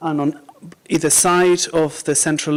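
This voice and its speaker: Speaking at a fairly slow pace with a Mexican accent, a man uses a fairly high pitch and fairly even intonation. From Mexico. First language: Spanish. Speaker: Buddhist teacher. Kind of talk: dharma talk to a small group. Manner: mumbles sometimes; halting, many fillers.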